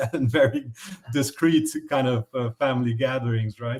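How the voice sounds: A man speaks at a moderate pace in a medium-pitched voice with a slightly mellow tone.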